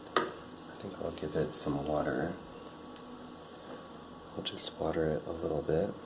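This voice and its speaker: A man with a very deep, low pitch speaks in a soothing tone that is monotone and flat. His pace is fairly slow with long, frequent pauses, and noticeable background noise is present. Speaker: ASMR creator. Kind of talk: ASMR plant-care narration, calm explaining to the listener. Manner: soft, slow, soothing.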